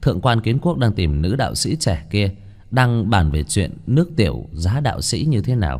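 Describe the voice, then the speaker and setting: A man's fairly low voice with vocal fry, at a moderate pace and very wide pitch swings, over a quiet background. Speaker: story narrator. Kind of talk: audiobook story reading. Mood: lively, playful narration. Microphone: studio mic.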